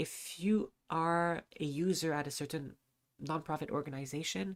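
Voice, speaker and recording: A woman speaks in a very deep, low voice at a fairly slow pace. Her intonation stays fairly even in a very clean recording with a silent background. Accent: non-native. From Lebanon. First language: not English. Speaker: charity stream co-host. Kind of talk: live charity stream. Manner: halting, many fillers.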